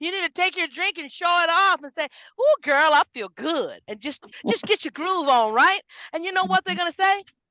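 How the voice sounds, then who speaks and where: A woman's extremely high, bright, sharp voice, raised and projected, at a moderate pace, with an animated tone, lively intonation, big swings in loudness, and a dry, close sound with no echo. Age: 50s. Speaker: network marketing team leader. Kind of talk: motivational talk on video call. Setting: video call.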